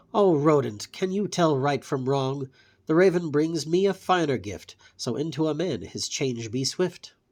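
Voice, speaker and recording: In a put-on character voice, a man speaks at a moderate pace and a fairly high pitch, recorded very cleanly with a silent background. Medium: read story. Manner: sly, ominous.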